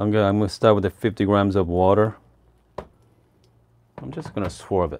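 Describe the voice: This man speaks at a moderate pace with a fairly low pitch and fairly even intonation. His slightly mellow tone carries vocal fry.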